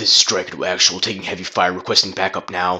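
A man puts on a raspy character voice with a very deep, low pitch. He talks at a very fast pace in a monotone, flat intonation. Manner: urgent.

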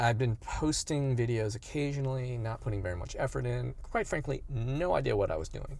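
The speech runs on with hardly any pauses. The sound is dry, with no echo. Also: man. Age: 50s. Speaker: youtuber, fitness content creator. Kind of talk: casual vlog monologue. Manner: halting, many fillers. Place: car. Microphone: phone near.

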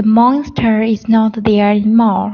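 A woman's fairly high, somewhat breathy voice, very slow and flat in a monotone. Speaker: student. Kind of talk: reading aloud.

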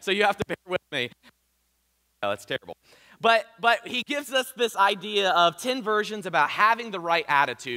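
A man with a southern Ohio accent uses a raised, projected voice at a high pitch. Faint music plays in the background. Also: lively intonation, moderate pace. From US Midwest (southern Ohio). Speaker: pastor; preacher. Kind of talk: sermon. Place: church. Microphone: headset.

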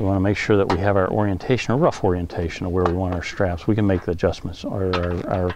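A man with a fairly low pitch talks at a very fast pace and with fairly even intonation. The sound is dry with no echo, though there is noticeable background noise. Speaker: equipment trainer. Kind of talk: tutorial. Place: boat.

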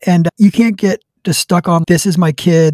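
A man with a high pitch and a dark, mellow tone is heard in a dry sound with no echo against a quiet background. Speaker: hunting podcast host; podcast guest. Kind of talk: casual chat. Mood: relaxed, friendly. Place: home room. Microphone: studio mic.

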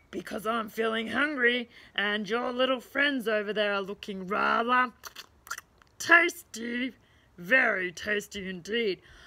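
A woman bellows in a put-on character voice, pitched fairly high and delivered at a fairly slow pace. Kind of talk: children's storytime reading. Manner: roaring, greedy, then whiny.

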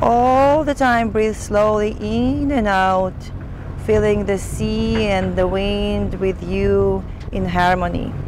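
A woman talks slowly at a medium pitch, her intonation fairly even. Background noise is clearly audible.

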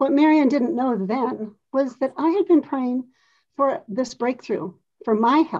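With a dark, mellow tone and a high pitch, a woman speaks at a fairly slow pace with lively intonation against a quiet background. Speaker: host of online wellness presentation. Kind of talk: sales presentation and testimony. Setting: video call. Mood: warm, earnest, faith-filled. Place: home room. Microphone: video call.

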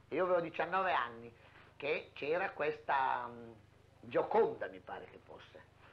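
Long, frequent pauses break up a man's very slow speech, which shows big swings in loudness. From Emilia-Romagna, Italy (Reggio Emilia province); Emilia-Romagna, Italy. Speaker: theatre costume maker. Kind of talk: interview reminiscence. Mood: warm, fond reminiscence. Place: home room.

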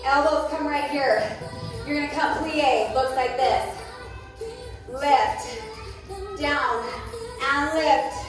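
With clear music behind her and strong room echo, a woman speaks very slowly at a high pitch, with ordinary pitch variation and long, frequent pauses. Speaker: fitness instructor. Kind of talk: workout class cueing. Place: gym.

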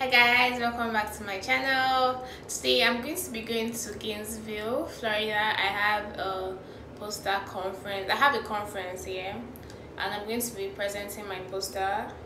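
A woman at a moderate pace with ordinary pitch variation and noticeable background noise. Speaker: travel vlogger. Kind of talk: casual vlog chat. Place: home room. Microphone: phone near.

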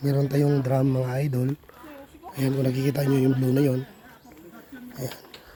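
Over noticeable background noise, the speaker talks at a moderate pace in a monotone, flat intonation, with long, frequent pauses. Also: man, medium pitch for a man. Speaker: vlogger. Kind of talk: casual vlog narration.

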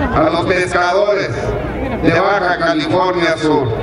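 The pace is very slow. Audible room echo and loud background noise fill the recording. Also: man. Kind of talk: public speech. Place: stadium. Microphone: podium.

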